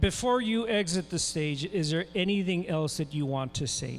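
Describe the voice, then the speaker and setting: Music plays in the background as a man with an American accent speaks. His pace is fairly slow, with ordinary pitch variation. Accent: Tejano South Texas English. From South Texas, Rio Grande Valley. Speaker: event moderator, professor. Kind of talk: event emceeing. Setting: stage at school assembly.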